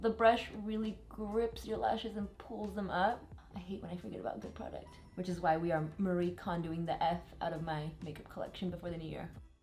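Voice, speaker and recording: A woman with an American accent and a fairly low pitch, fairly quick, with hardly any pauses and audible room echo. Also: ordinary pitch variation, big swings in loudness. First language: Spanish. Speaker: beauty vlogger. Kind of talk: tutorial. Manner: casual, chatty.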